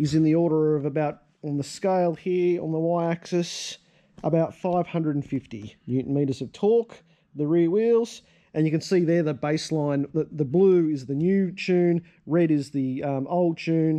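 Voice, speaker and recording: With ordinary pitch variation and a fairly slow pace, a man talks over a quiet background. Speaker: car enthusiast channel host. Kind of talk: casual vlog chat. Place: garage. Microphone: phone near.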